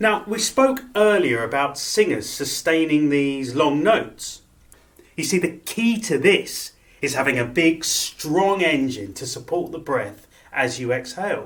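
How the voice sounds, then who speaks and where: A man speaks in a fairly high voice at a fairly slow pace. His pitch swings very widely. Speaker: opera singer. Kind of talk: breathing exercise instruction.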